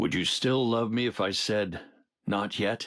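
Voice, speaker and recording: A man's raspy, put-on character voice at a medium pitch and moderate pace, with fairly even intonation, on a very clean recording with a silent background. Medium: video game. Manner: earnest, slightly awkward.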